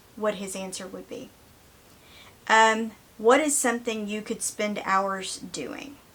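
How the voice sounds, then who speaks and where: A woman with a Southern US accent talks at a fairly high pitch and a very slow pace, with long, frequent pauses. Her loudness swings widely while her pitch varies in an ordinary way. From US South. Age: 50s. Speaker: vlogger. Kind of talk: casual chat.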